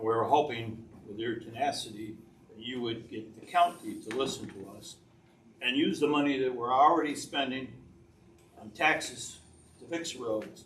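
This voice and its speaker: With audible room echo, the speech moves at a moderate pace with ordinary pitch variation, long and frequent pauses, and big swings in loudness. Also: man. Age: 80s+. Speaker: public commenter at township meeting. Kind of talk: public comment. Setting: township board meeting.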